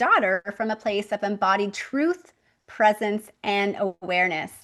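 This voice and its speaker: Using a plain, everyday voice, a woman speaks at a fairly high pitch and a moderate pace. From Canada. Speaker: podcast host. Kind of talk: podcast interview.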